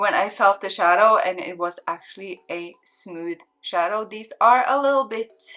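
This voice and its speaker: Her voice sits at a medium pitch and she speaks at a fairly slow pace. This woman has a non-native accent. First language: not English. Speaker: beauty YouTuber. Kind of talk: makeup swatch tutorial. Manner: casual, repetitive, filler-heavy; enthusiastic.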